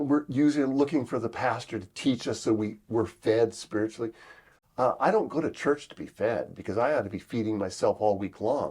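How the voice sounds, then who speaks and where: A man speaks in an animated tone at a fairly quick pace, with a medium pitch and ordinary pitch variation. The recording is very clean, with a silent background. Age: 60s. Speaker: pastor. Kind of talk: interview. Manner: conversational, animated.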